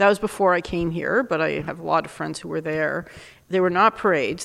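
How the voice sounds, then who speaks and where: Vocal fry runs through a woman's voice, which shows ordinary pitch variation. The recording is very clean, with a silent background. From Canada, Montreal. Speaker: university dean. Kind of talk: interview.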